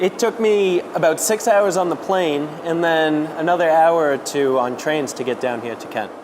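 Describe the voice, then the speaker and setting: A man with an American accent and fairly high pitch talks at a moderate pace with hardly any pauses. Noticeable background noise sits behind him. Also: ordinary pitch variation. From Massachusetts, Cape Cod. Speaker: cranberry farmer. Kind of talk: interview on location. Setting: on location at a pack house.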